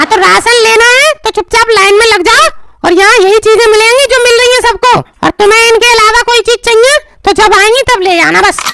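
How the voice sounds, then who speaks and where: An extremely high-pitched put-on character voice at a fairly quick pace. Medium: comedy sketch. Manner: sarcastic, brusque.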